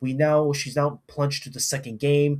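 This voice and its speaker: An animated, somewhat breathy male voice, fairly high in pitch. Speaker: anime reviewer. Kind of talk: casual commentary rant.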